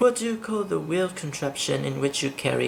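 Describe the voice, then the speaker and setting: The speech, in a Vietnamese accent, comes at a fairly quick pace. Noticeable background noise is present. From southern Vietnam, Saigon. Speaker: vlogger. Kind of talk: accent tag vlog, questionnaire answers and opinion rant. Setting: filming at home in the dark.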